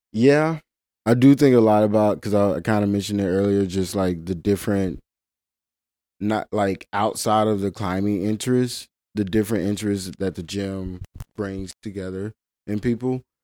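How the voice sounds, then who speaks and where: A man's dark, mellow voice, fairly low in pitch, moves at a moderate pace in a dry, close sound with no echo on a very clean recording with a silent background. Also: ordinary pitch variation. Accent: Mississippi. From Mississippi Delta. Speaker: climbing coach and route setter. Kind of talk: casual interview.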